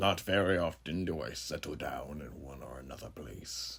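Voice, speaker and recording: Putting on a character voice, a man delivers his lines at a fairly slow pace. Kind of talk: horror monologue. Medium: audio drama. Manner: measured, florid and philosophical, punctuated by chuckles.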